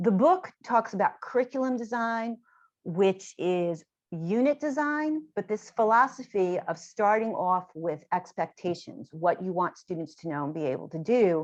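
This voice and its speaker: Against a quiet background, a woman talks at a fairly slow pace and medium pitch, her voice swinging very widely up and down. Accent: New York. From New York, Long Island. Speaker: education author and trainer. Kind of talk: lecture.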